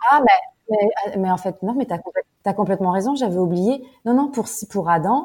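Dark, mellow female voice with ordinary pitch variation. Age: 30s. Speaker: expat mother, small business owner. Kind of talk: interview testimony.

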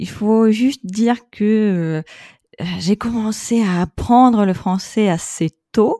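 A woman's fairly high voice in a dark, mellow tone, very slow in pace, with ordinary pitch variation, in a dry, close sound with no echo and a very clean recording with a silent background. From Russia, Saint Petersburg. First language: Russian (speaking French). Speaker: expat mother. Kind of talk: casual interview.

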